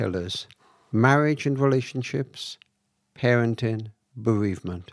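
Speaking at a very slow pace with a Cardiff accent, a man of medium pitch uses lively intonation. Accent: Welsh, Cardiff. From Cardiff, Wales. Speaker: author and charity founder. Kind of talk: interview conversation, storytelling. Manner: hesitant, reflective.

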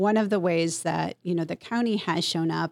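A woman speaks at a fairly low pitch in an unremarkable speaking voice, with fairly even intonation. The recording is very clean, silent in the background, and dry and close with no echo. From US, Mexican-American family. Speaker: county government executive. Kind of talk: interview.

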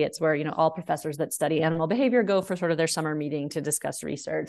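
A woman speaks at a fairly low pitch against a quiet background. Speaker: dog behaviorist and author. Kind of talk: casual interview chat.

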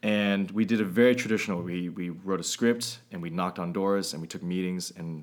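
Recorded very cleanly with a silent background, a man with a very deep, low pitch speaks at a fairly quick pace with fairly even intonation. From Northern California (East Bay). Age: 30s. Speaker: YouTube filmmaker and media company founder. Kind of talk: casual interview.

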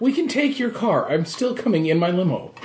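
A man's put-on character voice, extremely high-pitched, at a fairly quick pace. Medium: actual play. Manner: flippant, teasing.

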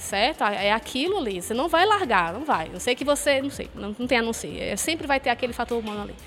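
Speech comes at a fairly quick pace with hardly any pauses, very wide pitch swings and big swings in loudness. Music plays in the background. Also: woman, high pitch for a woman. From Fortaleza, Ceará, Brazil. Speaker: university professor. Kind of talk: casual chat. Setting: stage with audience.

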